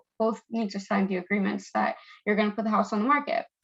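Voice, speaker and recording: The intonation stays fairly even. A woman speaks at a medium pitch. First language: not English. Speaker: real estate agent. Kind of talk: lecture. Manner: casual.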